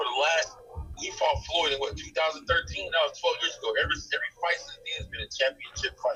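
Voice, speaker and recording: A man speaking at a very fast pace, with music in the background. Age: 50s. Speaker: boxing trainer. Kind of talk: casual chat.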